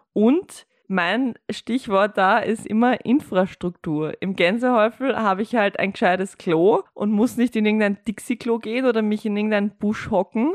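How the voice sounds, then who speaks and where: The speaker uses a Viennese accent, a moderate pace and ordinary pitch variation. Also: woman. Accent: Viennese Austrian German. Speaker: podcast co-host and producer. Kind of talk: casual chat.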